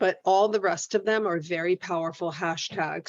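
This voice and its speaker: A woman speaks at a fairly slow pace in a medium pitch with ordinary pitch variation. It is an ordinary speaking voice. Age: 50s. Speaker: social media business coach. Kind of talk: online coaching class. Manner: conversational.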